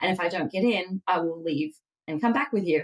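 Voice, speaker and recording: A woman speaks with an Australian accent. Her pitch is fairly low, with ordinary variation. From Australia, Melbourne. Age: 30s. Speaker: dietitian. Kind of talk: podcast interview.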